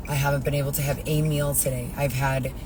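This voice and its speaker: There is noticeable background noise behind this woman. Her voice also carries audible room echo. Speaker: vlogger. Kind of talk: personal video diary.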